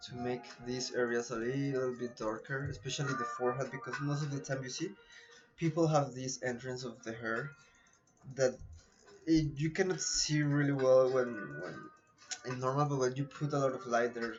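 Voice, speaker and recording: A man in a Colombian accent at a moderate pace, medium pitch and fairly even intonation, with long, frequent pauses and music in the background. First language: Spanish. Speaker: photo retoucher / streamer. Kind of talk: live-stream tutorial.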